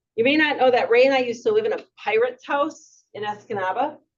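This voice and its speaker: The woman's voice is loud. Her pitch sits high. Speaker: retired adventurer and author. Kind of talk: public talk. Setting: museum talk with audience.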